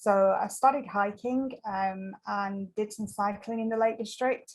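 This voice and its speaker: Speaking with an English accent, the voice moves at a fairly slow pace with fairly even intonation. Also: woman, fairly high pitch for a woman. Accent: English accent noticeable. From northern England, Lancashire-Yorkshire border. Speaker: ultramarathon trail runner. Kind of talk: interview. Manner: hesitant, many fillers.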